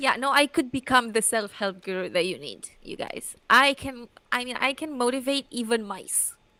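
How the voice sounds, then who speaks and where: Someone with a non-native accent speaks at a moderate pace, with hardly any pauses and a bright, sharp tone. The intonation is lively and the loudness swings widely. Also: woman, high pitch for a woman. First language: not English. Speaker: youtuber commentary host. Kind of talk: casual chat.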